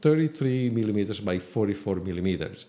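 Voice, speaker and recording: This man speaks in an Italian accent. His pitch swings very widely. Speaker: film photographer. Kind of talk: educational talk to camera.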